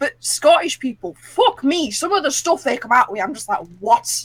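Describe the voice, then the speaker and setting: With a strong northern English accent, the voice makes very wide pitch swings at a fairly slow pace, sounding dry and close with no echo. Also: woman. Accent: thick northern English. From northern England. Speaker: tabletop game player. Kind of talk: casual chat.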